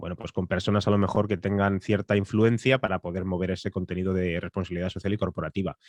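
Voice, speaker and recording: A man with a very deep, low voice talks very fast in a monotone, flat delivery with hardly any pauses, in a dry, close sound with no echo. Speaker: podcast producer and voice-over announcer. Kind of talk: masterclass lecture.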